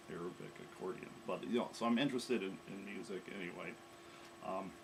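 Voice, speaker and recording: With an American accent, a man speaks at a very fast pace in a fairly low pitch with ordinary pitch variation. The recording has audible room echo and noticeable background noise. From US Midwest, Chicago area. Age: 50s. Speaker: coding bootcamp student. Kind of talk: self-introduction. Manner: hesitant with frequent fillers.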